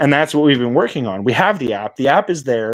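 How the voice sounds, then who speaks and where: An unremarkable speaking voice with a Canadian accent and ordinary pitch variation. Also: man. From Canada. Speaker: crypto project founder. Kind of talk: casual interview chat.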